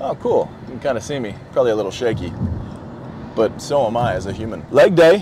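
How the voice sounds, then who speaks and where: A man talks at a fairly quick pace with very wide pitch swings. The sound is dry with no echo, with noticeable background noise. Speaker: vlogger and actor, former football player; fitness vlogger. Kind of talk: casual vlog talk. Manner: fast. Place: car. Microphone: lapel.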